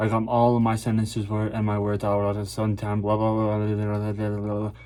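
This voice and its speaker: Mumbling at a fairly quick pace, a man speaks in a dark, mellow tone with a fairly low pitch and monotone, flat intonation. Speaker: vlogger. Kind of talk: casual monologue vlog. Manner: stutters and mumbles.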